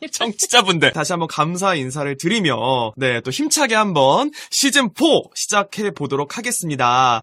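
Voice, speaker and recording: Recorded dry and close with no echo, a man speaks at a moderate pace in a high pitch, his bright, sharp tone moving through very wide pitch swings. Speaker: podcast host. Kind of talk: casual talk show.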